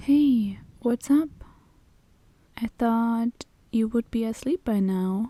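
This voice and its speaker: Speaking very slowly with long, frequent pauses, a woman has a fairly high pitch, a dark, mellow tone and ordinary pitch variation. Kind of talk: ASMR roleplay. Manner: soft-spoken, comforting.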